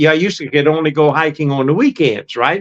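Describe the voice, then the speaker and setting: A man's voice, fairly high in pitch, with ordinary pitch variation. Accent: Southern US. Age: 80s+. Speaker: retired hiker and YouTuber. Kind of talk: casual chat. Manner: halting.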